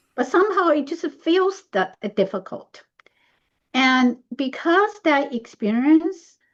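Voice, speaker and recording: A woman with a Chinese accent, high in pitch, very wide pitch swings and a very slow pace. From Taiwan. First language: Mandarin Chinese. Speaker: speaker. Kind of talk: discussion.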